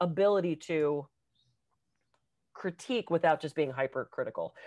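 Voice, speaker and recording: A woman with an American accent speaks in an animated tone at a fairly quick pace, her pitch fairly low with ordinary variation. The sound is dry and close with no echo, over a quiet background. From Pittsburgh, US. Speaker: podcast co-host and public speaker. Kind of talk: casual chat. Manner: fast.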